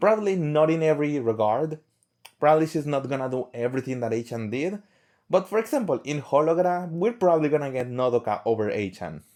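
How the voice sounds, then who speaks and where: With a non-native accent, a man speaks at a very fast pace in a fairly high pitch, his dark, mellow tone carrying lively intonation in a very clean recording with a silent background. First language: not English. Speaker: fan vlogger. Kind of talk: casual monologue to camera. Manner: halting, with repeated words.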